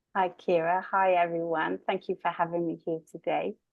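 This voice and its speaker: The speaker has an English accent and talks at a moderate pace with monotone, flat intonation. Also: woman. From southwest England. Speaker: spiritual medium and coach. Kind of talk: interview conversation.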